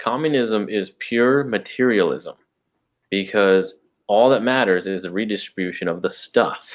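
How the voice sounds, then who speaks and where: A man with an American accent has a normal speaking voice and ordinary pitch variation. His pace is fairly slow, and the background is quiet. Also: medium pitch for a man. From Texas. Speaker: podcast co-host. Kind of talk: casual chat.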